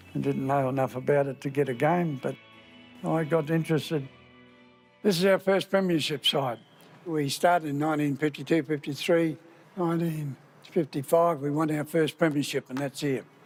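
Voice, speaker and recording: Over music in the background, the speaker moves at a moderate pace with fairly even intonation. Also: man, fairly high pitch for a man. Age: old. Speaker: retired football club president. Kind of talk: documentary interview.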